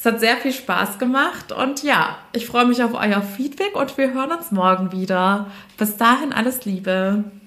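Over noticeable background noise, a woman talks at a fairly slow pace in a high voice. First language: bilingual German and French (speaking German). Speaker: podcast host and career coach. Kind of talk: casual interview chat; scripted intro and outro. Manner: animated.

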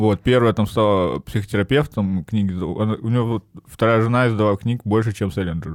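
At a fairly quick pace, a plain, everyday voice with ordinary pitch variation comes through dry and close with no echo. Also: man, fairly low pitch for a man. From northern Russia (Arkhangelsk and Murmansk regions). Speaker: stand-up comedian. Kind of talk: casual chat.

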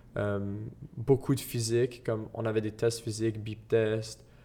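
A man's dark, mellow tone, flat and monotone, at a fairly slow pace. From Quebec, Gatineau. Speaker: soccer player. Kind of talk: interview.

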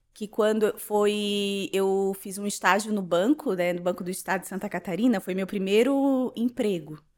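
A woman with a normal speaking voice talks at a moderate pace, her pitch in the middle range with ordinary variation. The recording is very clean, with a silent background. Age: 30s. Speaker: social media influencer and insurance broker. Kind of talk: casual interview, personal life story.

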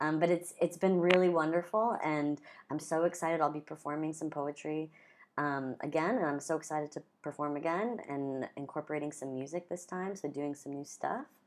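With a Pacific Northwest accent, a woman talks at a fairly quick pace. Her pitch is very deep and low. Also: ordinary pitch variation. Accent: American, Pacific Northwest. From US Pacific Northwest (Gresham, near Portland, Oregon). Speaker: freelance artist and marketer. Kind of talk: casual chat.

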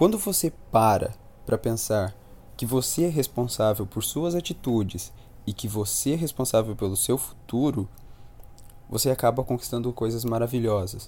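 Dark, mellow male voice with ordinary pitch variation and long, frequent pauses. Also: medium pitch for a man, moderate pace. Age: 20s. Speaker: real estate investor. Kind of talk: casual interview chat. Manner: animated.

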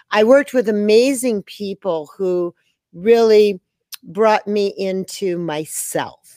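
A woman at medium pitch, a normal speaking voice with fairly even intonation, in a dry, close sound with no echo. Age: 60s. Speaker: movement teacher and creator of a dance system. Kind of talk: interview answers, casual conversation. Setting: online video call.

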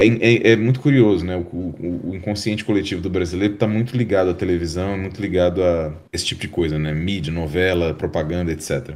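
A man talks at a fairly quick pace with hardly any pauses. His pitch is very deep and low. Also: ordinary pitch variation. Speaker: visual effects artist. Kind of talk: interview.

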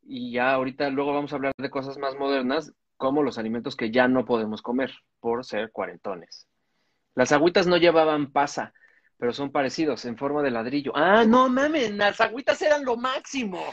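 A man's plain, everyday voice, fairly high in pitch, with lively intonation at a moderate pace over a quiet background. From Mexico City, Cuajimalpa. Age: 40s. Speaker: comedian podcast co-host. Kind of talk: casual chat.

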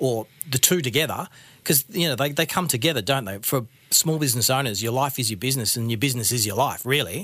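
With an Australian accent, a man talks at a very fast pace in a fairly high pitch. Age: 40s. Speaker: ex-monk business owner and coach. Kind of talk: interview conversation.

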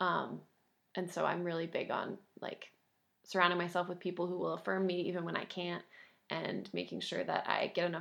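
Speaking at a fairly quick pace, a woman uses a fairly low pitch with vocal fry. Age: 20s. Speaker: high school English teacher. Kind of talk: casual interview conversation.

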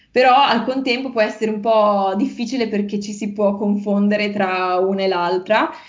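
A woman of medium pitch speaks at a moderate pace with hardly any pauses. Audible room echo fills the recording. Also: fairly even intonation. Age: 20s. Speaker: language teacher and university student. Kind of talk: interview.

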